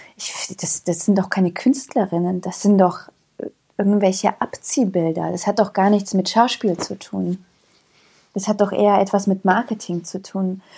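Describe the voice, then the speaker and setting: A woman's medium-pitched voice, somewhat breathy, with a dark, mellow tone and fairly even intonation. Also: moderate pace. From Germany, moved from Yugoslavia as small child. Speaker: actress and author. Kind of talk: casual interview.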